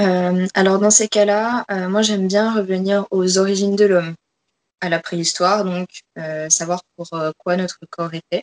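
Here a woman talks at a fairly slow pace in a monotone, flat intonation. The sound is dry and close, with no echo. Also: medium pitch for a woman. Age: 20s. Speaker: fitness coach. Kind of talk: interview.

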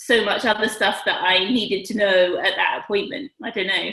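At a fairly quick pace, a woman with an unremarkable speaking voice talks at a fairly high pitch with ordinary pitch variation. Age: 30s. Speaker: vet and expectant mother. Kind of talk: interview.

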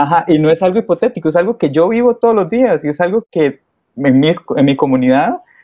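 Using lively intonation, a man speaks at a high pitch in a Costa Rican accent. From Costa Rica, San Ramón de Alajuela. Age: 20s. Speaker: microbiology student, church volunteer. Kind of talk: interview conversation.

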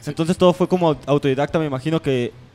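Music plays in the background as a man talks at a very fast pace. His intonation is fairly even, and the sound is dry and close with no echo. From Mexico. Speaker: radio host. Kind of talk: casual radio talk.

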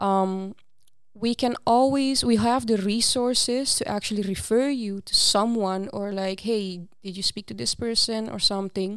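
Speaking in a Curaçao accent at a moderate pace, a woman with a fairly high pitch keeps her intonation fairly even on a very clean recording with a silent background. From Aruba. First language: Papiamento. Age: 20s. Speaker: student peer coach. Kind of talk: casual interview.

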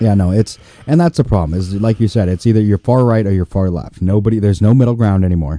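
Very fast and fairly low, a man's voice carries a dark, mellow tone and an American accent. The sound is dry and close, with no echo. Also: ordinary pitch variation. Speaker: co-host and comic. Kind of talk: casual chat, commiserating and joining the rant. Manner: sarcastic, dry, profane.

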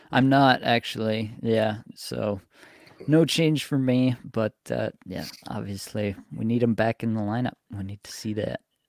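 A man with a plain, everyday voice speaks at a fairly slow pace and a medium pitch, with ordinary pitch variation. His loudness swings widely, and the sound is dry and close with no echo. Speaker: podcast host, fantasy hockey analyst. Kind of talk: casual podcast chat about fantasy hockey. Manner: joking, friendly banter.

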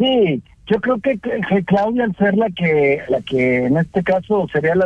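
This man's voice is high, with lively intonation. He speaks at a fairly slow pace. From Jalisco, Mexico. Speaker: journalist. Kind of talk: radio interview. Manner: halting.

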